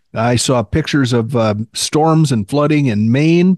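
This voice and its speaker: This man has an unremarkable speaking voice at a medium pitch, moving at a moderate pace. The sound is dry and close, with no echo. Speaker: Medicare podcast host and author. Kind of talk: casual chat. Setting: video call. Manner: humorous, playful.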